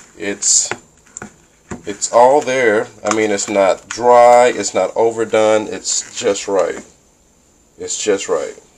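Over light background noise, a man speaks at a fairly slow pace. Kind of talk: casual vlog chat. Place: kitchen. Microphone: phone near.

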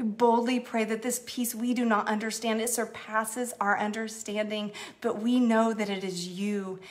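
A woman speaks at a moderate pace in a warm tone with hardly any pauses. Her intonation stays monotone and flat. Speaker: church executive minister leading online prayer. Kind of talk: fervent prayer, earnest spoken petition to God with a hushed, intimate tone. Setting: Facebook Live stream, online church gathering. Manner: warm, heartfelt, sincere, gently pleading and affectionate. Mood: earnest, prayerful. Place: home room. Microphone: phone near.

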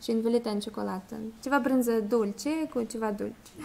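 A woman with a Russian accent speaks at a high pitch with lively intonation. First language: Russian (speaking Romanian). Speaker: foreign guest speaker; guest. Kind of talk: presentation to schoolchildren; informal talk to a congregation. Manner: halting. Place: church. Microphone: podium.

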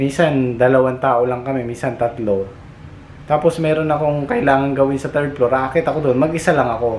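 This is a man with a normal speaking voice and a medium pitch. He talks at a fairly quick pace with fairly even intonation. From Philippines. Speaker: vlogger and overseas factory worker. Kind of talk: casual vlog storytelling. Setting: outdoors at a factory compound.

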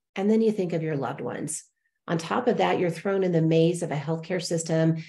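A woman's fairly low voice carries a dark, mellow tone. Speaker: show host. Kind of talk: host introduction. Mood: warm, upbeat. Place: home room. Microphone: earbuds.

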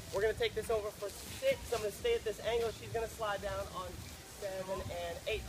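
Noticeable noise sits behind speech delivered at a fairly quick pace. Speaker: dance instructor. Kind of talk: tutorial. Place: beach.

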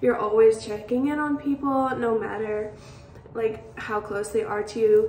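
Audible room echo and light background noise accompany a woman speaking at a fairly high pitch. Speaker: college student. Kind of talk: recorded tribute message. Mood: warm, grateful, playful. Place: home room. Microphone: phone near.

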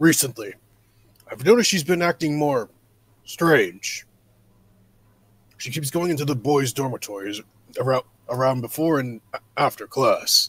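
Using a put-on character voice, a man talks at a moderate pace and a fairly high pitch, with long, frequent pauses. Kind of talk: improvised character dialogue.

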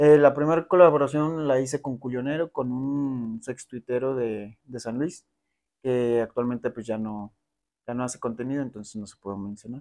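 At a moderate pace, a man with a medium pitch and a dark, mellow tone speaks with ordinary pitch variation and big swings in loudness over a quiet background. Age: 20s. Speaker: adult content creator. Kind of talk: interview. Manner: halting. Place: home room. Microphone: lapel.

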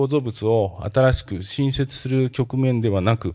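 Against a quiet background, a man's voice carries a dark, mellow tone and ordinary pitch variation. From Japan, Kanagawa (Tanzawa area); Kanagawa. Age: 50s. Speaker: company president; presenter. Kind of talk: investor presentation. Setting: seminar stage with audience. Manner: formal; frequent hesitation fillers. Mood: polite formal, calm. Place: hall. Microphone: handheld.

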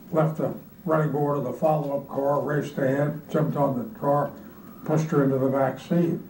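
Light background noise and audible room echo accompany a man's voice. He talks at a moderate pace with a fairly high pitch and fairly even intonation. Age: 80s+. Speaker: former government official. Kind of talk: oral history interview answer. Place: office.

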